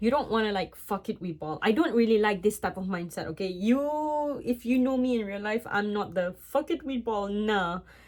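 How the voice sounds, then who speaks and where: This woman has a non-native accent and a fairly high pitch with lively intonation. She keeps a moderate pace with hardly any pauses. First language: not English. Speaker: vlogger giving relationship advice. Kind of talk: casual advice monologue, partly read from laptop. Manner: hesitant, self-correcting.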